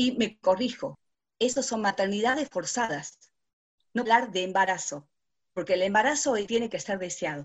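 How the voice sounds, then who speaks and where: In a normal speaking voice, a woman talks at a moderate pace and medium pitch, with lively intonation. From Salta, Argentina. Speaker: lawyer. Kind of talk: panel discussion.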